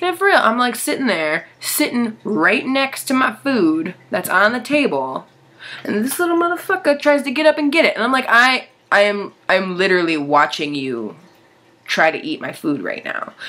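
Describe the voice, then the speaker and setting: Over noticeable background noise, a man's extremely high-pitched voice is raised and projected, with very wide pitch swings. His pace is moderate. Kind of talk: casual vlog.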